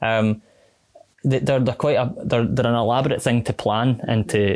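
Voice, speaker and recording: Speaking with a West of Scotland accent, a man uses a medium pitch and fairly even intonation. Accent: West of Scotland (Glasgow area). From Scotland, West Dunbartonshire. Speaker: triathlon club president and coach. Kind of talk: casual interview chat.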